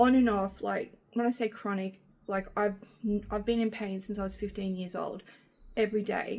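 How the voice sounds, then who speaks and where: A woman at a moderate pace with monotone, flat intonation. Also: medium pitch for a woman. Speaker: lifestyle vlogger. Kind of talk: casual vlog talk. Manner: halting, tripping over words.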